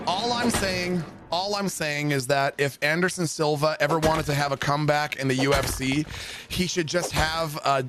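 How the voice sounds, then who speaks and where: A man's fairly high voice at a moderate pace, with ordinary pitch variation and music in the background. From Canada, Ontario. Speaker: gaming streamer. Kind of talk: live gaming stream chat. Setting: home basement streaming setup. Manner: animated.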